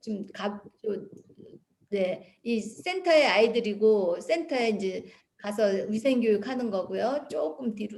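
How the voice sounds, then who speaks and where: A woman speaks at a very slow pace in a fairly high, somewhat breathy voice with lively intonation. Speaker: missionary. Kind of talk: mission report presentation with slides. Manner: conversational, with fillers.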